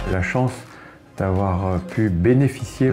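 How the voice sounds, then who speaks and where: Over music in the background, a man speaks at a fairly low pitch with ordinary pitch variation. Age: 60s. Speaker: business executive. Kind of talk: interview testimony. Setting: interview at an event. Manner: halting, with repetitions and hesitations.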